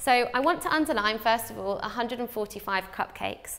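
A woman speaks with lively intonation. The background is quiet. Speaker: teacher. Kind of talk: tutorial. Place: studio. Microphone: lapel.

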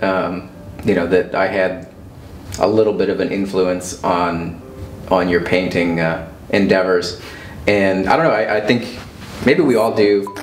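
Fairly even intonation comes through with audible room echo and light background noise. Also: man. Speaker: interview guest. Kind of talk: interview answer. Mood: reflective, warm, smiling. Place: home room.

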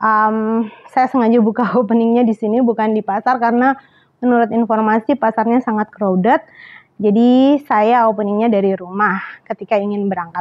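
A woman talks at a fairly quick pace. Her loudness stays very even. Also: fairly even intonation. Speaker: travel vlogger. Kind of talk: casual vlog chat. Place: home room. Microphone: lapel.

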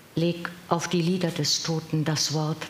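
A woman speaks very slowly in a solemn, dramatic tone with a very deep, low pitch. Audible room echo and light background noise accompany her. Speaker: professional voice actor reading poems. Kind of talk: poem reading. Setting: live event with audience. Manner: measured, solemn, dramatic delivery with deliberate pauses; trained, clear, expressive diction. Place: hall.

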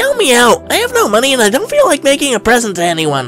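A put-on character voice rattles along at a very fast pace over clear music in the background. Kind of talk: webtoon fandub dialogue.

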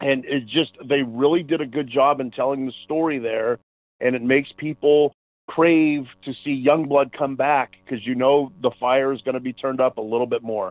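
Man's plain, everyday voice at medium pitch, with fairly even intonation and a moderate pace. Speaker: podcast co-host. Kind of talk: casual podcast chat.

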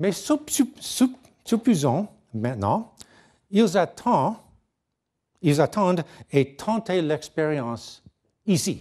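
Against a quiet background, a man with a high pitch and a dark, mellow tone speaks at a very slow pace, his pitch swinging very widely, with long, frequent pauses. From Canada, near Niagara Falls; Canada. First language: English (speaking French). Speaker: physicist; conference lecturer. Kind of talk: lecture. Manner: halting, frequent hesitations. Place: hall.

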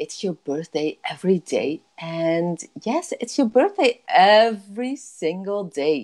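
Against a quiet background, a woman with a Dutch accent speaks at a very slow pace in an upbeat tone, her pitch swinging very widely. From Netherlands. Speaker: life coach. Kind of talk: casual talk to camera on a live stream. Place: home room. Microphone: earbuds.

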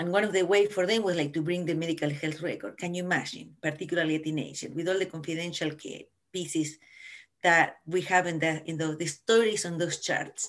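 Speaking in an Argentine accent, a woman talks at a fairly quick pace with a fairly low pitch. The background is quiet. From Argentina. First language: Spanish. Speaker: family physician; panelist. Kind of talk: panel discussion. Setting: video call. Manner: animated. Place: home room. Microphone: video call.

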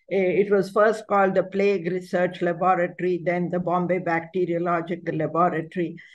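The woman keeps a moderate pace. Her intonation is fairly even. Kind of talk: lecture. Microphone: video call.

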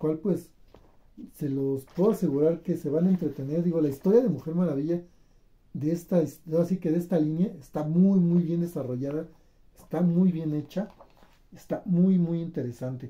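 Fairly high male voice with a dark, mellow tone and ordinary pitch variation. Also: moderate pace.

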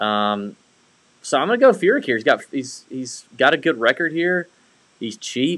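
A man with a fairly high pitch at a moderate pace, long, frequent pauses, and a quiet background. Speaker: golf betting podcast host. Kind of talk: casual sports betting chat. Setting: home studio, co-hosts in same room. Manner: animated. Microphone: video call.

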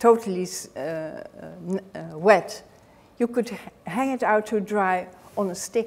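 This woman speaks with a Dutch accent at a very slow pace. Her pitch varies in an ordinary way. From Netherlands. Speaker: author and knitting historian. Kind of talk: lecture. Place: hall.

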